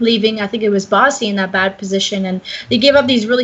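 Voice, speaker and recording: There is noticeable background noise. A woman with a medium pitch speaks at a fairly quick pace. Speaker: esports caster. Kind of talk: live commentary. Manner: stuttering.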